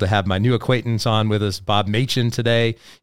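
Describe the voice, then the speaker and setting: With a Southern US accent, a man talks at a fairly quick pace in a very clean recording with a silent background. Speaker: podcast host. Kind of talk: casual interview. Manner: warm, friendly.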